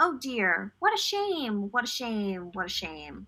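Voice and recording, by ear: A woman uses a put-on character voice with a bright, sharp tone. She speaks slowly, with big pitch swings. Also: medium pitch for a woman.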